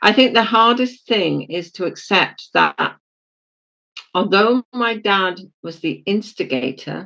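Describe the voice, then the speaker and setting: Speaking very slowly with a British accent, a woman at medium pitch has a bright, sharp tone, lively intonation and some vocal fry. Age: 70s. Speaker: spiritual leader. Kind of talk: interview about life story. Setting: podcast.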